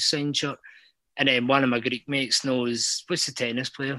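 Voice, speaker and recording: A man's bright, sharp voice in a Scottish accent, medium in pitch, flat and monotone, at a fairly quick pace. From Scotland. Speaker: caller. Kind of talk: casual chat.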